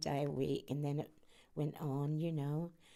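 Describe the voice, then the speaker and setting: Dark and mellow in tone, a woman speaks at a fairly slow pace in a Norfolk accent. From Norwich, eastern England. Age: 90. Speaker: interviewee, war-era wife. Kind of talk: oral history interview. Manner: halting, with fillers.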